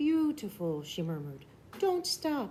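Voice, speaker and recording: A soft-spoken, put-on character voice comes through clear background noise. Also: woman. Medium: read story.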